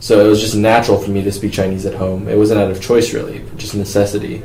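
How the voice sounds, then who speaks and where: Someone with an American accent talks at a fairly quick pace amid noticeable background noise and audible room echo. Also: man. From Florida, US. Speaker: university student. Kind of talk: interview answers.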